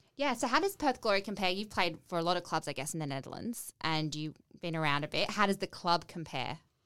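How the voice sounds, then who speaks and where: Speaking very fast with hardly any pauses, a woman with an Australian accent has a fairly low pitch, lively intonation and a bright, sharp tone. The recording is very clean, with a silent background. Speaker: podcast host. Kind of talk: casual interview chat. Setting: studio.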